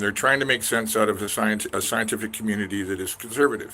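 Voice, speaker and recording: A man talks at a very fast pace with a western Canadian accent. His pitch variation is ordinary. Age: 60s. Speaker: independent scholar vlogger. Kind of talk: casual monologue vlog. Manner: rambling with many fillers and false starts.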